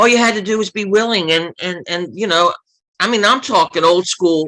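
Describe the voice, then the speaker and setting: The tone of this man's voice is bright and sharp. He keeps to a moderate pace. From US, Baltimore (East Baltimore). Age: 60s. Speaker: author and former journalist. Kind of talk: interview.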